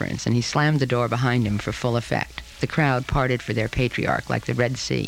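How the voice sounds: Fairly even intonation in a natural reading voice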